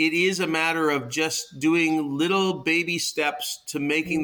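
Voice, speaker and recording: Speaking in a Canadian accent, a man with a fairly high pitch and a bright, sharp tone keeps fairly even intonation at a moderate pace. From Canada, Toronto. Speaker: founder of a social connection project. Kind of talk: interview. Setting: remote call.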